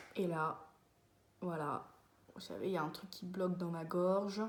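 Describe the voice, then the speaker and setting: Audible room echo surrounds a very slow delivery with ordinary pitch variation. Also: woman. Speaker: vlogger. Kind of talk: casual monologue to camera. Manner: hesitant, many fillers.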